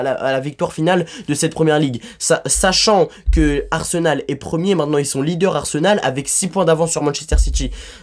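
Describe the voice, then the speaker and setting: With noticeable background noise, a man speaks in an animated tone at a fairly quick pace. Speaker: football YouTuber. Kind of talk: hot-take match debrief. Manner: fast.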